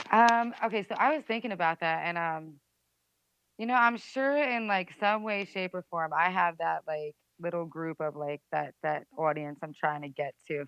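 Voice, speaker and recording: A woman with a New Jersey accent, a fairly low voice, lively intonation and a moderate pace. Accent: New Jersey American. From New Jersey, USA. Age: 20s. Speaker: musician. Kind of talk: interview answer. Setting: phone line.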